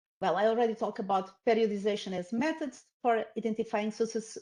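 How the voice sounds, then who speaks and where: A woman's fairly high voice in a Portuguese accent, at a fairly quick pace. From Portugal. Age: 50s. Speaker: professor. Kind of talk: lecture. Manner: halting.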